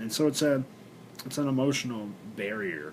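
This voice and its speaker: The room echo is audible as a man talks at a moderate speed. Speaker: vlogger and actor. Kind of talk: personal video blog. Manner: halting, many fillers.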